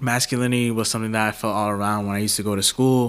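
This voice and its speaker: Flat and monotone, the voice comes with a Bronx accent. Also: man. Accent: New York, Bronx. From New York City, the Bronx. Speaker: journalist. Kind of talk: interview conversation.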